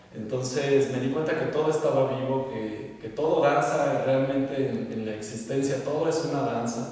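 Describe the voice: Strong room echo surrounds a man speaking at a moderate pace. His medium-pitched voice has a slightly mellow tone. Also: ordinary pitch variation.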